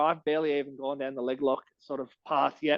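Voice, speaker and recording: In an Australian accent, the speaker moves at a fairly quick pace with a monotone, flat intonation. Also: man. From Australia, Canberra. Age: 30s. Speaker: martial arts coach and fighter. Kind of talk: podcast interview.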